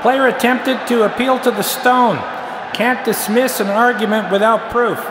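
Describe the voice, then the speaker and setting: A man's deadpan, monotone delivery at an extremely high pitch, with very even loudness and noticeable background noise. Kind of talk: sports referee parody, deadpan announcing of argument-fallacy penalties. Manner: deadpan, formal referee cadence with stock 'on the field' call-outs; halting, filler 'uh' before calls, flares into exasperation on one line.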